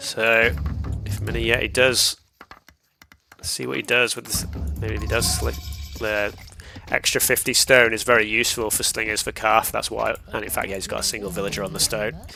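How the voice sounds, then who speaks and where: There is music in the background as a man talks at a moderate pace. He leaves long, frequent pauses. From southern England, raised partly in northern England. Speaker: esports caster. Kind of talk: live commentary.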